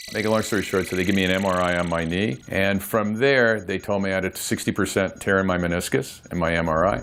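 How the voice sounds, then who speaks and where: Against noticeable background noise, a man with a very deep, low pitch talks at a very fast pace with hardly any pauses and ordinary pitch variation. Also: very even loudness. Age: 60s. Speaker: patient. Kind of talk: testimony.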